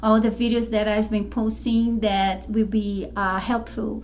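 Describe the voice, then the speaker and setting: In a Brazilian Portuguese accent, a woman talks at a fairly slow pace with a fairly high pitch. Noticeable background noise and audible room echo fill the recording. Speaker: spiritual YouTuber and author. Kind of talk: casual vlog talk to camera. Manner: halting, many fillers.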